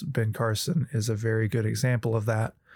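With a Southern US accent, a man talks at a moderate pace in a medium pitch with ordinary pitch variation, on a very clean recording with a silent background. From US South. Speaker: friend of the host. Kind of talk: casual discussion. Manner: hesitant, many fillers.

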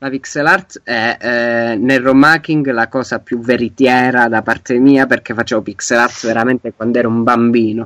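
With an unremarkable speaking voice, a man talks at medium pitch and a moderate pace with fairly even intonation, hardly any pauses, and a dry, close sound with no echo. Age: 20s. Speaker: game designer and ROM hacker. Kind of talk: interview.

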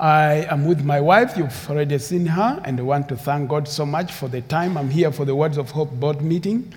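A man's somewhat breathy voice, fairly high in pitch. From Uganda. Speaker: preacher. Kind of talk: sermon. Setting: church.

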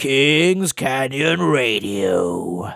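A man puts on a character voice. It is raspy and medium in pitch. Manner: exaggerated, theatrical.

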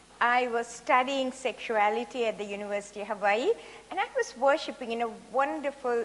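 A woman's high-pitched voice at a moderate pace, fairly even in intonation, over noticeable background noise. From Sri Lanka. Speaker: sex therapist and retired academic. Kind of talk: seminar talk. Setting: church stage with audience.

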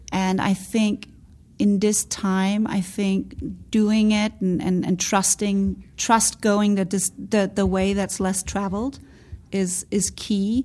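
Breathy to a degree, a woman speaks very slowly at a medium pitch in a dark, mellow tone. Her intonation is monotone and flat, and the recording is very clean with a silent background. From Denmark. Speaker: beauty brand founder and CEO. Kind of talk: interview.

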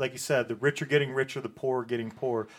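In a normal speaking voice, a man talks at medium pitch with fairly even intonation. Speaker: punk radio show host. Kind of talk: casual chat. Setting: studio.

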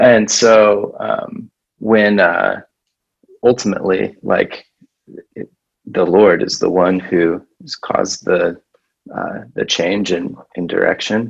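Speaking with an American accent, a man goes at a very slow pace with long, frequent pauses. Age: 30s. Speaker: pastor. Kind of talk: casual interview. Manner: halting.

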